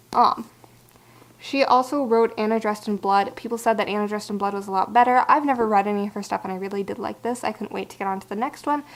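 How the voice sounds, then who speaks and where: At a very fast pace, a woman talks in a fairly high pitch with fairly even intonation. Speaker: book vlogger. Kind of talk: casual book review monologue. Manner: halting.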